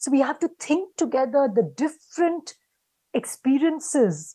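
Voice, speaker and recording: With an Indian accent, this voice has a dark, mellow tone against a quiet background. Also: woman. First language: Hindi. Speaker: academic panelist; panelist. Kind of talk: panel discussion. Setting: video call. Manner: halting. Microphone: video call.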